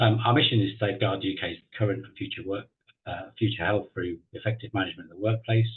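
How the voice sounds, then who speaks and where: Delivery is very fast, in an English accent, with fairly even intonation. Loudness swings widely. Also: man, fairly low pitch for a man. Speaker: occupational hygienist. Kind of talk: webinar presentation. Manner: halting, many fillers.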